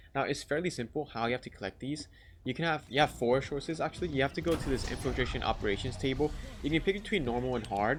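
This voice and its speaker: A man speaks very fast at a fairly high pitch, with vocal fry and ordinary pitch variation. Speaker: gaming youtuber. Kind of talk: tutorial. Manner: casual.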